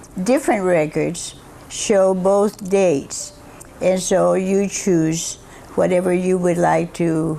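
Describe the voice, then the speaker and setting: Noticeable background noise sits behind a woman's voice. She speaks at a very slow pace with fairly even intonation. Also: medium pitch for a woman, very even loudness. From Cuba, raised partly in Georgia, US. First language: Spanish. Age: 90s. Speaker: retired school principal. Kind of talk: interview.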